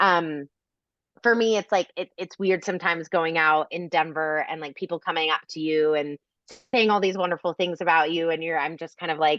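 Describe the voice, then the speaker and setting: This woman talks at a fairly quick pace in a bubbly tone with a fairly low pitch. The sound is dry and close with no echo, over a quiet background. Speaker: influencer and content creator. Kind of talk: podcast interview. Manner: loud and bubbly; casual, many fillers.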